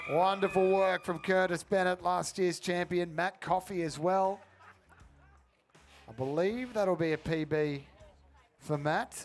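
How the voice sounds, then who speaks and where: A man with an Australian accent and high pitch, at a fairly slow pace with long, frequent pauses, ordinary pitch variation and very even loudness. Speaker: sports commentator. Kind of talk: live commentary.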